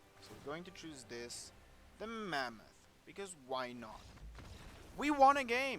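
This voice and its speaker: A man with a non-native accent speaks in a high pitch for a man, his loudness swinging widely and his pitch ranging very wide, with long, frequent pauses and audible room echo. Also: fairly slow pace. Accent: non-native English, self-noted. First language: German. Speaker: gaming YouTuber. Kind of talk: gameplay commentary. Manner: casual.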